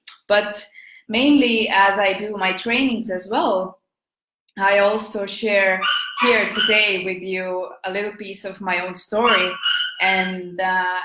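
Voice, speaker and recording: A woman speaks at a fairly slow pace, her loudness swinging widely. The room echo is audible. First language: Estonian. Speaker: business and marketing coach. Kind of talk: live video talk. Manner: halting, many fillers.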